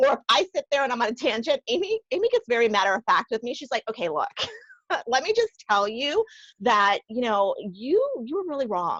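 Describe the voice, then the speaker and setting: Loud and animated, a woman speaks at a high pitch and a fairly quick pace with very wide pitch swings, in a dry, close sound with no echo. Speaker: podcast co-host. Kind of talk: casual chat. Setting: video call.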